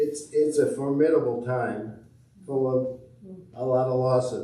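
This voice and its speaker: In a room with audible echo, a man of medium pitch speaks at a fairly slow pace. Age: 80s+. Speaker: congregation member. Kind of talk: personal reflection.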